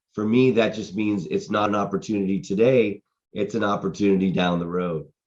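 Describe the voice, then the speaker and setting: A man with an unremarkable speaking voice talks at a fairly quick pace and a fairly low pitch. His pitch variation is ordinary, against a quiet background. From Boston, United States. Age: 50s. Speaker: real estate entrepreneur and sales coach, podcast host. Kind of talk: podcast talk to camera, motivational business coaching.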